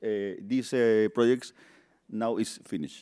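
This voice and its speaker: Captured on a very clean recording with a silent background and a dry, close sound with no echo, a man with a Peruvian accent speaks at a medium pitch and a moderate pace. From Peru, Lima. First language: Spanish. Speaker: construction project manager. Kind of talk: conference presentation. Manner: halting, many fillers.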